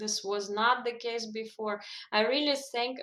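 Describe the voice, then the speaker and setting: Speaking at a fairly slow pace, a woman with a Russian accent keeps a fairly high pitch and a monotone, flat intonation. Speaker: language coach. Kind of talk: interview.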